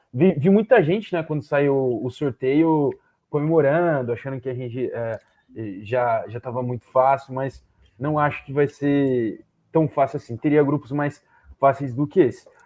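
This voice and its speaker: This man talks fairly slowly in a normal speaking voice, fairly high in pitch, with ordinary pitch variation. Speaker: football analyst. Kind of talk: live panel discussion.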